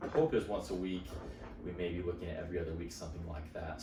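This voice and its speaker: A man's very deep, low voice with audible room echo and music in the background. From Utah. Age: 20s. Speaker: podcast host. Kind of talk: casual monologue. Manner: animated.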